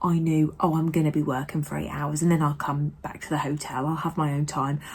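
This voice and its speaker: A quiet, somewhat breathy voice with a British accent. The recording is very clean, with a silent background. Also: woman. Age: 30s. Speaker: vlogger. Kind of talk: casual vlog monologue. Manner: speaking quietly.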